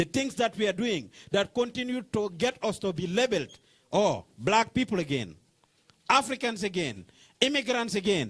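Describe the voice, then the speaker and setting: A man with a Senegalese accent talks at a moderate pace, his high voice carrying lively intonation. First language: Wolof. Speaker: community organizer. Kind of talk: closing address to workshop audience. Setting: meeting room with live audience.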